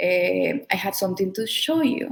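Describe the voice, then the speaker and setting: Vocal fry marks this woman's voice. Her pitch sits at a medium level. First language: not English. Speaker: community member sharing healing story. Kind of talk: testimony. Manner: halting.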